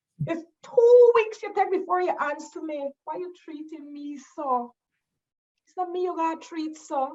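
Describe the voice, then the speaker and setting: Using a dark, mellow tone, a woman speaks at an extremely high pitch with a Guyanese accent. Her pace is fairly slow, with lively intonation and big swings in loudness. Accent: Guyanese Creole. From Guyana. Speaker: educator and cultural storyteller. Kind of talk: spoken-word poetry performance. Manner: playful, conversational.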